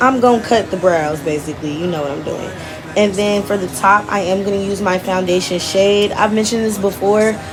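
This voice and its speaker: Amid noticeable background noise and audible room echo, a woman with medium pitch talks at a fairly quick pace with fairly even intonation. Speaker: beauty vlogger. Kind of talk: makeup tutorial. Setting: voiceover. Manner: casual, chatty.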